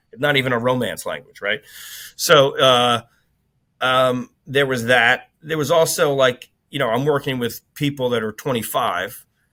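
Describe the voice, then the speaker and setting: A man with an American accent, medium pitch, and a bright, sharp tone, at a fairly slow pace with fairly even intonation, on a very clean recording with a silent background. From Long Island, New York. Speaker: business executive. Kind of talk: interview conversation. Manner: loud, outspoken; casual, filler-heavy.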